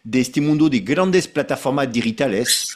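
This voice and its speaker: With a French accent, a man speaks with lively intonation. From France. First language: French (speaking Spanish). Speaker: association president, webinar moderator. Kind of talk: webinar moderation. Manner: halting, with fillers and repetitions.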